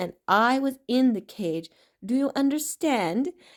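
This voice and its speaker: A woman's put-on character voice, high-pitched and growling, at a fairly slow pace. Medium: read story.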